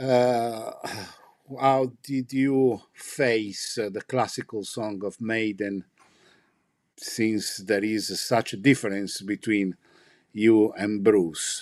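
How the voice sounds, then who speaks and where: Speaking very slowly with long, frequent pauses, a man with an Italian accent keeps a medium pitch and fairly even intonation over a quiet background. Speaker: livestream host and interpreter. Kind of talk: live stream interview with translation.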